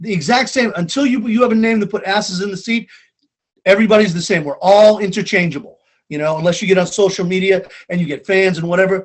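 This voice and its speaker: In a Boston accent, the speaker rushes along at a very fast pace with an animated tone and ordinary pitch variation. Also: man, high pitch for a man. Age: 50s. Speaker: stand-up comedian. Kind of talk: casual chat.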